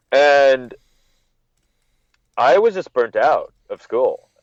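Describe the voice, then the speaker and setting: A man with a Californian accent. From California (Monterey, NorCal). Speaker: wrestling journalist, podcast guest. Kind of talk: casual interview chat. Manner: halting, with frequent repetitions.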